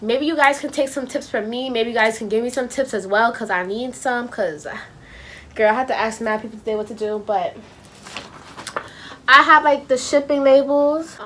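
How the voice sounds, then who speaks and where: A woman speaks at a high pitch with ordinary variation, leaving long, frequent pauses. Background noise is noticeable. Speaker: YouTuber. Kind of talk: casual vlog tutorial. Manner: fast; animated.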